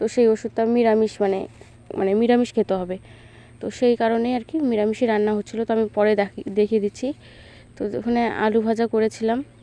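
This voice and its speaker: Her pitch is fairly high, but her tone is dark and mellow. The woman speaks in a monotone, flat intonation with a dry, close sound and no echo. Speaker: village vlogger. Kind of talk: casual vlog narration. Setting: outdoors at home courtyard.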